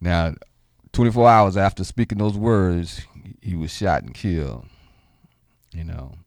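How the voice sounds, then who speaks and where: In a very clean recording with a silent background, a man with a very deep, low voice speaks fairly slowly, leaving long, frequent pauses. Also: ordinary pitch variation. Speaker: radio host. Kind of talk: radio talk show, with a passage of rally-style oratory and a rousing King sermon excerpt. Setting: radio studio broadcast, live and streamed. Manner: animated, conversational, repeats words for emphasis.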